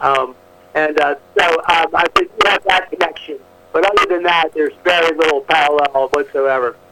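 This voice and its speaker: Fairly high in pitch, a man with an American accent talks at a moderate pace with fairly even intonation and very even loudness, while background noise is noticeable. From Maryland, US. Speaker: author. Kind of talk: phone interview. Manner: halting.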